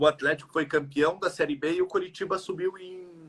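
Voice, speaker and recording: The speaker is a man. His tone comes across bright and sharp. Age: 30s. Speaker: football fan. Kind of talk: casual interview chat. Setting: Instagram live video call.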